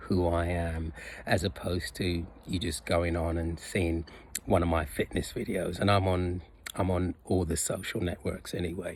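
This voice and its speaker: A man's very deep, low, somewhat breathy voice at a fairly slow pace. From UK and Jamaica (teens in Jamaica). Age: 60s. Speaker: personal trainer, fitness vlogger. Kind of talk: casual vlog monologue. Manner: halting, many fillers.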